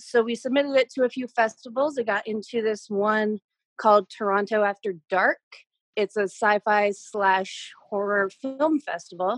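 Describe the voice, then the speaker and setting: A woman speaks in a plain, everyday voice, fairly high in pitch with ordinary pitch variation. Her moderate pace comes through in a dry, close sound with no echo. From Canada. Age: 20s. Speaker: personal trainer. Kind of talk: casual chat. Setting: video call.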